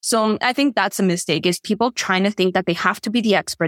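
The dry, close sound with no echo carries a woman talking at a fairly quick pace. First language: Spanish. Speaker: leadership and visibility coach. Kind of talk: casual interview chat. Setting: remote video call.

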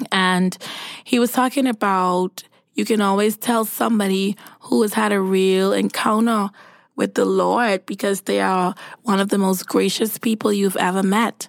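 Very even loudness and fairly even intonation carry a moderate pace. The recording is very clean, with a silent background. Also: woman, medium pitch for a woman. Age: 30s. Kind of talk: devotional monologue. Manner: casual, conversational.

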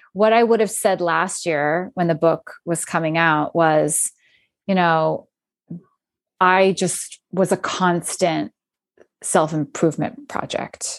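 A woman with an American accent has a plain, everyday voice, fairly low in pitch and fairly even in intonation. She talks at a fairly slow pace against a quiet background. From US, Philadelphia area. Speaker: author and podcaster. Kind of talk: casual chat.

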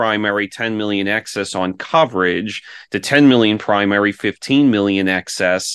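Over a quiet background, a man with an American accent has an unremarkable speaking voice, fairly low in pitch with fairly even intonation. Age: 30s. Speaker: insurance broker. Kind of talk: interview.

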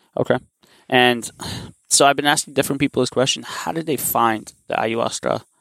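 A man talks at a fairly quick pace and medium pitch, with vocal fry. His intonation is fairly even, and the sound is dry and close with no echo. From Armenia. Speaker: podcast host. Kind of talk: interview.

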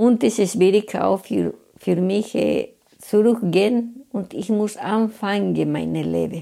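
A woman with a Spanish accent, at a very slow pace. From Bolivia. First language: Spanish (speaking German). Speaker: cleaner. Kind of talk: interview. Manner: halting.

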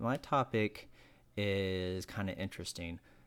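A man with an American accent speaks slowly-ish at a fairly low pitch in a plain, everyday voice, keeping a fairly slow pace. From North Carolina, Wilkes County. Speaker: podcast co-host. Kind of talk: casual chat.

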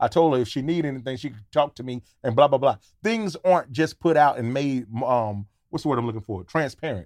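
A man with a plain, everyday voice at medium pitch, fairly quick pace and big swings in loudness, on a very clean recording with a silent background. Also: lively intonation. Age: 40s. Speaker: comedian and podcaster. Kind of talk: casual chat.

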